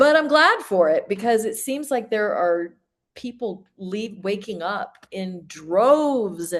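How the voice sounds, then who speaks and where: Lively intonation marks a woman speaking at a fairly slow pace. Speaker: life coach and former religious member. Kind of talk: interview.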